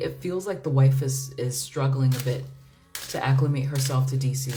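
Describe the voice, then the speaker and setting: A woman's very deep, low voice with an American accent at a moderate pace, with music in the background and audible room echo. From United States. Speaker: tarot reader. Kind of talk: tarot reading livestream. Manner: casual, hesitant with many fillers and repeats.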